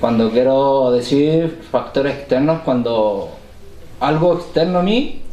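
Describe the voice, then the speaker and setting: A man talks at a fairly slow pace. Noticeable background noise and audible room echo surround his voice. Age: 20s. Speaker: recovering addict in a community podcast. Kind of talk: casual podcast conversation.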